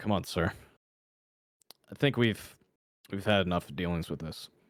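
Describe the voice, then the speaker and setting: A raspy, put-on character voice at a moderate pace. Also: man, very deep, low pitch for a man. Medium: actual play. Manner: weary, pleading.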